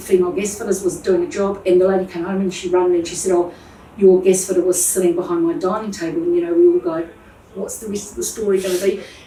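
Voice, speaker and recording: A woman talks very fast in a medium pitch with monotone, flat intonation. Noticeable background noise can be heard. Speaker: plumbing business owner. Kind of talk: interview answer.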